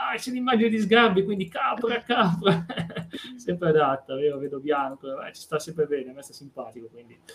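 High-pitched and at a fairly quick pace, the man's voice makes very wide pitch swings. Background noise is noticeable. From Piedmont, Italy (Vercelli). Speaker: podcast host. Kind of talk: casual chat. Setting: live stream.

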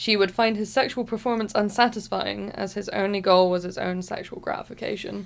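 A woman speaks with a West Country accent at a medium pitch and a fairly quick pace. Her intonation is monotone and flat, with hardly any pauses. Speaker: podcast co-host. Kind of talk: casual chat.

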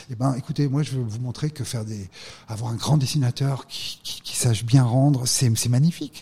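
In an ordinary speaking voice at a medium pitch, a man talks at a moderate pace with fairly even intonation and big swings in loudness. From France, Drôme (Valence). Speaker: art gallery owner and former financier. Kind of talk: interview.

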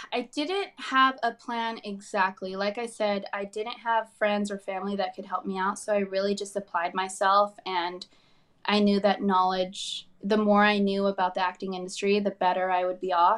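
A woman speaks with a plain, everyday voice. Her medium pitch holds fairly even intonation. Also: quiet background. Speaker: actor. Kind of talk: interview chat.

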